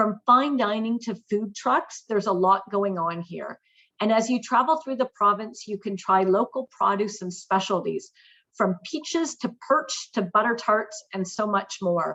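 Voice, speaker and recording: A woman with a Canadian accent in a normal speaking voice, fairly high-pitched, at a fairly slow pace, with ordinary pitch variation. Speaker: tourism marketing manager. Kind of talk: webinar presentation.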